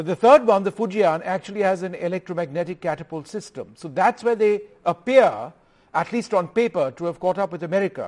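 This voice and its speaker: Over a quiet background, a man talks fairly quickly in a high voice with ordinary pitch variation, the sound dry and close with no echo. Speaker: news anchor. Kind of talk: interview. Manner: formal.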